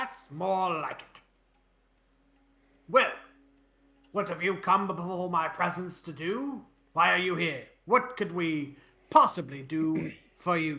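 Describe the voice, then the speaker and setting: A put-on character voice at middle pitch moves at a fairly slow pace. Long pauses come often. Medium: actual play. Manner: pompous.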